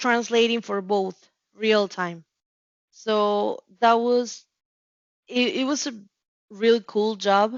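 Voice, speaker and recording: Very slowly and with fairly even intonation, a woman speaks with a Spanish accent in a fairly high pitch. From Mexico City. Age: 30s. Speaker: customer care representative. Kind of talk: interview. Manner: halting, many repetitions and fillers.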